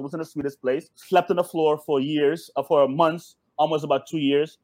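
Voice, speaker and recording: This is an ordinary speaking voice, from a man with an American accent. He is fairly high in pitch and talks at a fairly quick pace. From Suriname, raised in the US from childhood. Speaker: entrepreneur. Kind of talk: casual chat. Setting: video call.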